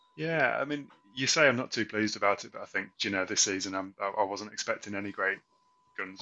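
At a very fast pace, a man speaks in a fairly low pitch with ordinary pitch variation. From England. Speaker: football podcast co-host. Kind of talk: casual chat. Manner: halting.

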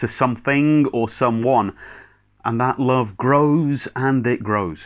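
With a Scottish accent, a man speaks at a medium pitch and a fairly slow pace. His pitch varies in an ordinary way over a quiet background. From Scotland, Clackmannanshire/Kinross area. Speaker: minister. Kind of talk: sermon. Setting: recorded video service.

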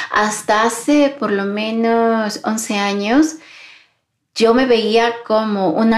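A woman with a fairly high, warm voice speaks at a very slow pace. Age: 40s. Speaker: podcast host and employability mentor. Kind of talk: solo podcast monologue. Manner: warm, intimate.

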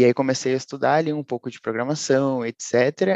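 A man uses a normal speaking voice at medium pitch with ordinary pitch variation, recorded with a dry, close sound and no echo. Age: 20s. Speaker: data science student and software tester. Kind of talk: casual interview.

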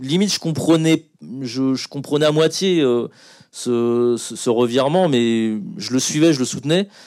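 Against a silent background in a very clean recording, a man speaks in a normal speaking voice at a fairly slow pace with ordinary pitch variation. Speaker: film director. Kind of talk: panel talk. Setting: stage with audience.

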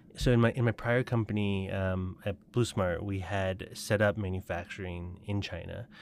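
Heard in a very clean recording with a silent background, a man with an ordinary speaking voice and a fairly low pitch talks at a moderate pace with an American accent. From Colorado and Taiwan. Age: 30s. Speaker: startup founder. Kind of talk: interview.

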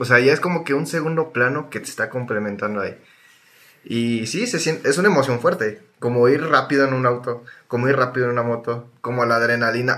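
The delivery is fairly quick, with a Mexican accent. The tone comes across bright and sharp. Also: man, medium pitch for a man, ordinary pitch variation. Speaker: podcast co-host. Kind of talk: casual chat. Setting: recorded remotely.

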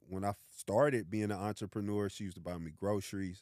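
Here a man talks at a fairly quick pace. His fairly low voice has a dark, mellow tone. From Orlando, Florida. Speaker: entrepreneur. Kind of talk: casual chat.

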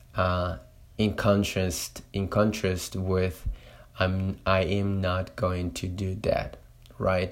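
A man's very deep, low voice, very slow and flat in a monotone. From Latin America. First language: Spanish. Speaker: Spanish teacher and podcaster. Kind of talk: solo monologue podcast. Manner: halting, many fillers.

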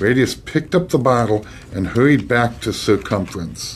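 Someone reads text aloud. The delivery stays natural.

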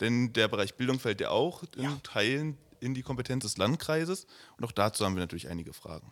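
On a very clean recording with a silent background, a man at medium pitch talks at a very fast pace with lively intonation. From Germany, Oranienburg. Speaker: podcast co-host, youth party member. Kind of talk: interview.

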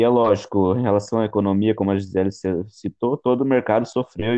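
Speaking at a fairly quick pace, a man uses a plain, everyday voice with fairly low pitch and fairly even intonation. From Brazil, São Paulo state interior. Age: 20s. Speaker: logistics student. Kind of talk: student podcast presentation.

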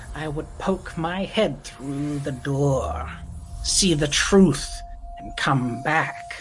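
In a put-on character voice pitched low-to-middle, the speaker goes at a very slow pace over clear background noise. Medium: actual play. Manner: odd, blunt, abrupt.

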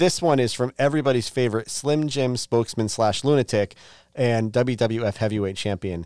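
With dry, close sound and no echo, a man talks at a medium speed and mid-range pitch, his pitch moving in an ordinary way, in an unremarkable speaking voice. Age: 40s. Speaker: podcast host. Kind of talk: casual chat.

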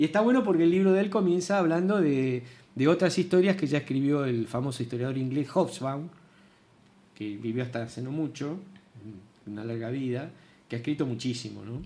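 A man with a dark, mellow tone and fairly high pitch speaks at a fairly quick pace, broken by long, frequent pauses. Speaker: retired history teacher. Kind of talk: casual chat. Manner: halting.

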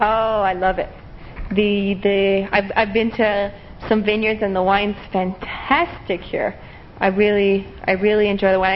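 Background noise is clearly audible as this woman talks at a moderate speed in an American accent. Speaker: English teacher. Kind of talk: interview.

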